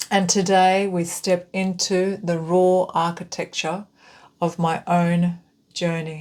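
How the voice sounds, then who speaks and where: Over a very clean recording with a silent background, a woman speaks at a very slow pace. Her pitch is fairly low, and her intonation is monotone and flat. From Lebanese Ecuadorian family home. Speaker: spiritual channel host. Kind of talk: spiritual transmission read from script; guided breathing. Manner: halting with pauses and stumbles.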